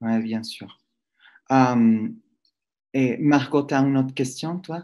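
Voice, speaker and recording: At a very slow pace, a man of medium pitch speaks in a dark, mellow tone with ordinary pitch variation against a quiet background. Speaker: professor, moderator. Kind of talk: interview. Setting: video call. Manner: halting.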